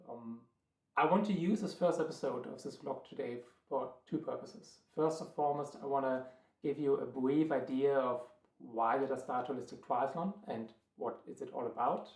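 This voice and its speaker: A man with a strong German accent talks in a fairly high pitch. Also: ordinary pitch variation, moderate pace. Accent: thick German. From Germany, Berlin. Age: 30s. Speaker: triathlon coach and vlogger. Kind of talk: vlog monologue. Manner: hesitant, many filler words.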